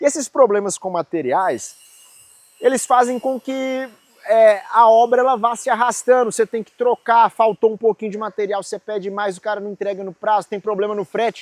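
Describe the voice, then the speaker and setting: Recorded dry and close with no echo, a man with a high voice speaks at a moderate pace in an animated tone. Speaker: civil engineer, construction youtuber. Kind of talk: tutorial. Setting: construction site. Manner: casual, animated.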